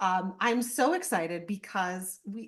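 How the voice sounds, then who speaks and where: The tone is animated. Intonation rises and falls in a lively way. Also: woman. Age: 40s. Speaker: podcast host. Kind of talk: interview.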